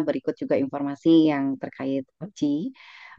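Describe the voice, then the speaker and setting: Her very deep, low voice carries ordinary pitch variation as this woman talks. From West Java (Garut), Indonesia. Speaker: event moderator, lecturer. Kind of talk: meeting moderation.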